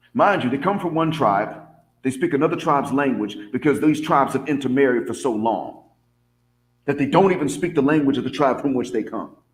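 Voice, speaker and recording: With a Southern US accent, a man talks at a fairly quick pace with a fairly high pitch and ordinary pitch variation. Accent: Southern American. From US South. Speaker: vlogger and English teacher abroad. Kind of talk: casual monologue.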